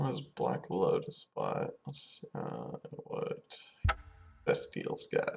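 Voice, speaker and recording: A man mumbles in a put-on character voice at a very slow pace, with music in the background. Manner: mumbling, talking to himself.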